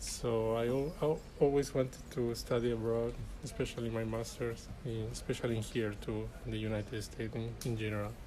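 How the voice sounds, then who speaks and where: With a Chilean accent, the speaker talks at a fairly quick pace in a space with audible room echo. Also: man, hardly any pauses. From Chile (Arica, far north). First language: Spanish. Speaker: graduate student. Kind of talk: interview.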